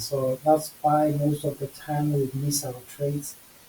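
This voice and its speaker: A man's fairly high voice at a very slow pace, over noticeable background noise. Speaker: forex trader. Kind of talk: trading tutorial screen recording.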